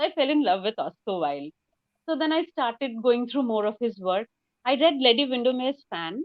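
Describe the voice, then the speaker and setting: A woman speaks in a high voice at a fairly quick pace. Her pitch swings very widely. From India, West Bengal. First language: Bengali. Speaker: novelist. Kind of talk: interview.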